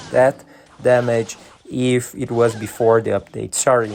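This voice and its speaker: Against music in the background, a man with a Brazilian Portuguese accent talks at a fairly slow pace and medium pitch. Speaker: gaming YouTuber. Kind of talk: gameplay commentary. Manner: hesitant, many fillers.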